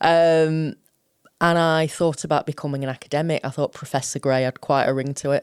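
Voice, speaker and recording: A woman's very deep, low-pitched voice at a fairly quick pace, monotone and flat, with a dry, close sound and no echo. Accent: Sheffield. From South Yorkshire, England (Sheffield). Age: 50s. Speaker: college principal and chief executive. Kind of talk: interview. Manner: informal, chatty.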